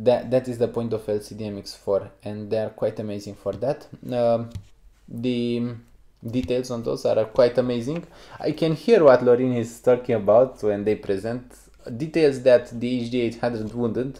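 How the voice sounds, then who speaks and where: Speaking with a Romanian accent, a man at medium pitch keeps a moderate pace and fairly even intonation in a dark, mellow tone, with big swings in loudness and long, frequent pauses. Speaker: headphone reviewer. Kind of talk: casual podcast chat.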